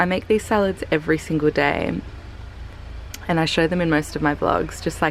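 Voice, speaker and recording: With an Australian accent, a woman speaks against noticeable background noise. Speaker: vlogger. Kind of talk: casual vlog talk. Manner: soft-spoken.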